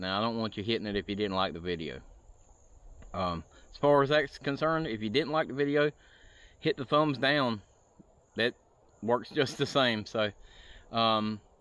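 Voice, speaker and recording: A man speaks at a moderate pace with long, frequent pauses. The sound is dry, with no echo. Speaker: camping vlogger. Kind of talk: casual vlog chat. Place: forest. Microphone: phone near.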